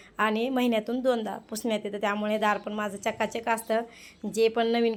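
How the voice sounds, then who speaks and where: This woman's voice sits at a fairly high pitch, with monotone, flat intonation. The recording is very clean and the background is silent. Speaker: home vlogger. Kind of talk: casual vlog narration.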